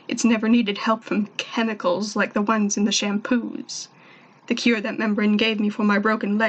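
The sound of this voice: The delivery is an unforced reading voice.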